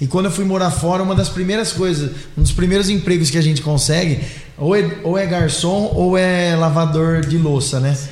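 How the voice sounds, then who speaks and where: A man at a fairly high pitch and moderate pace, with ordinary pitch variation, noticeable background noise and audible room echo. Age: 30s. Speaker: mayor-elect, businessman. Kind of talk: casual interview. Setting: live podcast studio.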